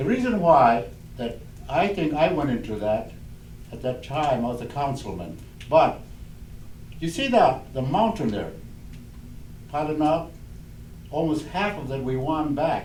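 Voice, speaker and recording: Lively intonation marks this man's fairly high voice, delivered at a fairly slow pace with long, frequent pauses. Audible room echo and noticeable background noise fill the recording. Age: 80s+. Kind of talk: oral history storytelling. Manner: halting, with many fillers.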